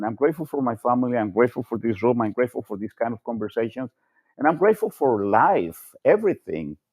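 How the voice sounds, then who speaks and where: A man with a Spanish accent talks at a very fast pace. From Colombia. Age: 60s. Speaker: panel participant. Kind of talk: casual chat. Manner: halting.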